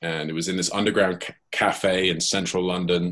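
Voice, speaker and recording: In a very clean recording with a silent background, a man with a northwest English accent talks at a moderate pace in a very deep, low pitch. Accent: British English, northwest England. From Cheshire, England. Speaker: professional gambler. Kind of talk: casual interview.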